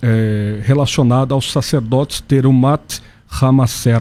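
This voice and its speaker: Dark and mellow in tone, a man's somewhat breathy voice sits at a medium pitch with ordinary pitch variation. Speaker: pastor. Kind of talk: radio debate.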